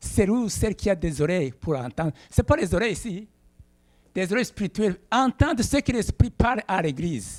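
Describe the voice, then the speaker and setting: With a Burundian accent, a man speaks in a high pitch with very wide pitch swings, the sound dry and close with no echo. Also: moderate pace. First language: Kirundi (speaking French). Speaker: pastor. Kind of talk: sermon. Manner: halting.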